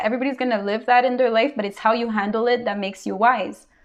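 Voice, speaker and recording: This woman has a fairly high voice and a strong non-native accent. Her intonation stays flat and monotone. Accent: big foreign. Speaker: tarot reader. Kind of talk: tarot reading monologue. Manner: casual with many fillers.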